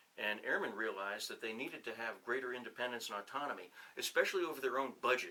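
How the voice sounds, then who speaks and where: A man speaks at a very fast pace in a New England accent. Noticeable background noise runs underneath. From New Hampshire. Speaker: retired officer and professor. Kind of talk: casual interview. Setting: on-camera 360 video interview.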